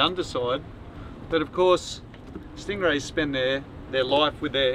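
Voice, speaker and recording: A man talks with ordinary pitch variation in a dry sound with no echo and light background noise. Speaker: sailing vlogger. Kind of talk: casual explanatory tutorial. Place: boat. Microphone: camera far.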